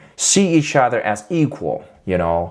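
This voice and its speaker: In a very clean recording with a silent background, someone with a Chinese accent speaks at a fairly slow pace. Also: man. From China. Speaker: YouTuber, political commentator. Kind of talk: casual vlog commentary. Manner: halting, many fillers.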